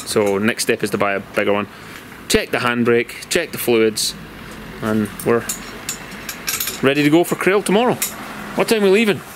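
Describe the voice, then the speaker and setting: A medium-pitched man with a Glasgow accent at a moderate pace, with very wide pitch swings, long, frequent pauses and noticeable background noise. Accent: Scottish (Glasgow). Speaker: car tuning YouTuber. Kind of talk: casual vlog chat. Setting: outdoors in a driveway.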